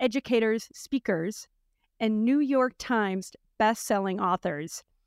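Lively intonation marks this woman's speech at a moderate pace. The sound is dry and close with no echo, on a very clean recording with a silent background. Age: 50s. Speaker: podcast host and company founder. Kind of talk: casual interview chat.

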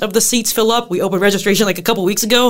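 In an American accent, a woman speaks at a medium pitch. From US Midwest, southern Illinois. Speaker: STEM outreach specialist. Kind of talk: casual interview. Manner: animated.

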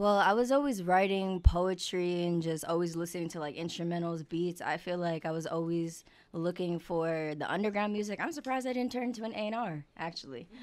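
A woman with a New York accent talks at a fairly quick pace, her pitch fairly low. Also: ordinary pitch variation, hardly any pauses. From New York (Queens, Long Island). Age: 20s. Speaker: singer and social media creator. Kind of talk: casual interview. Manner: laughs often.

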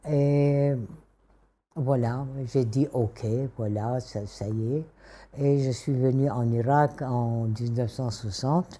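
A woman with a Kurdish accent speaks at a very slow pace, with long, frequent pauses, a very deep, low pitch, fairly even intonation, and a dark, mellow tone. The recording is very clean, with a silent background. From Syria, Damascus. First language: Kurdish (speaking French). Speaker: interviewee. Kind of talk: interview. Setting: at her home.

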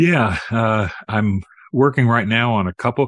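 A man's plain, everyday voice at medium pitch with ordinary pitch variation, dry and close with no echo over a quiet background. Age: 60s. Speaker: author and minister. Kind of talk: interview about his book.

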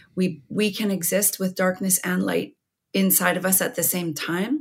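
A woman speaks at a medium pitch with vocal fry and ordinary pitch variation. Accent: Canadian. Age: 50s. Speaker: writer and former radio broadcaster. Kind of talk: interview about grief and overdose crisis.

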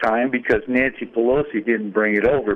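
Medium pitch and ordinary pitch variation from a man at a moderate pace, a normal speaking voice. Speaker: caller. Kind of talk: call-in opinion. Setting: phone call.

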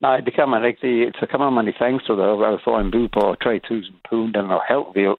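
At a fairly slow pace, a man with an English accent talks in a medium pitch with fairly even intonation. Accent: English-accented Danish. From northern England, Blackpool. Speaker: caller. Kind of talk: casual chat. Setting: phone call.

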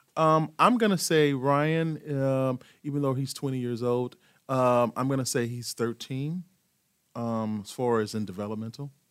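A man speaks in a normal speaking voice at a moderate pace. His pitch is medium and varies in an ordinary way. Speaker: program director of a nonprofit. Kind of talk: casual interview. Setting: studio.

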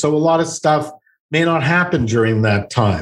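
An ordinary speaking voice, a man with a Canadian accent talks at a fairly high pitch with ordinary pitch variation. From Montreal, Quebec. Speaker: psychotherapist. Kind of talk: interview. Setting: video call.

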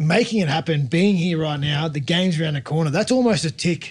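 A man talks at a fairly quick pace in an Australian accent. His high-pitched voice has lively intonation. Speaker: rugby league pundit, former player. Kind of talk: casual chat.

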